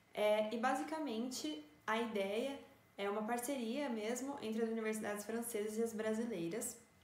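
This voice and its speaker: Against noticeable background noise and audible room echo, a woman with a fairly high pitch speaks at a moderate pace with ordinary pitch variation. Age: 20s. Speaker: engineering student. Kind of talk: informative talk to camera.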